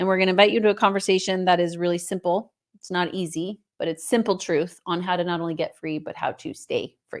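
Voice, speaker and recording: This woman, medium in pitch, talks very fast with hardly any pauses and fairly even intonation. Her loudness swings a lot, and the recording is very clean with a silent background. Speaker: podcast co-host. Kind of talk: casual chat.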